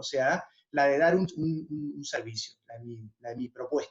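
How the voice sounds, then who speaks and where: Here a man talks at a fairly slow pace. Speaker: musician. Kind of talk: talk to students.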